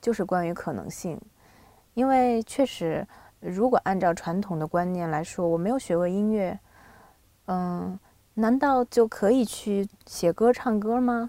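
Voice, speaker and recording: A woman at a medium pitch and a fairly slow pace, with a dark, mellow tone, ordinary pitch variation and long, frequent pauses, in a very clean recording with a silent background and a dry, close sound with no echo. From Shandong, China (Binzhou). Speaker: singer-songwriter. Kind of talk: casual interview. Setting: studio.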